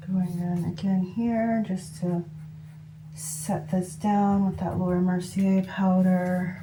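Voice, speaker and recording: A woman speaks at a very slow pace in a medium pitch, somewhat breathy. Her intonation is monotone and flat, and room echo is audible. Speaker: beauty vlogger. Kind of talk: makeup tutorial. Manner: casual, chatty with fillers; whispering at moments.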